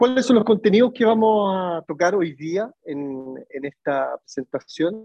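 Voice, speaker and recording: A man talks at a high pitch and a fairly slow pace, with lively intonation and hardly any pauses. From Chile. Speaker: tourism innovation speaker. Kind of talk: webinar lecture.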